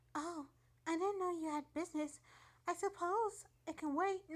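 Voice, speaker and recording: A woman's put-on character voice, squeaky, soft-spoken and gentle in tone, extremely high in pitch, at a moderate pace. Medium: read story. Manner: soft, gentle.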